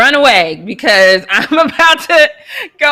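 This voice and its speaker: A woman's raised, projected voice comes across bright, sharp and animated. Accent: American. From Colorado. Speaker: sports show host. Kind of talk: casual live show chat.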